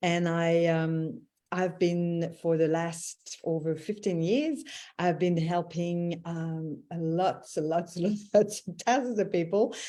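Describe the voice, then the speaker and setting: A very slow woman's voice, fairly low in pitch, dark and mellow in tone, with fairly even intonation. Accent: Quebec. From Quebec, Canada (Montreal). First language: French. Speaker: intuitive mentor and voice healer. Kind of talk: casual live-stream chat.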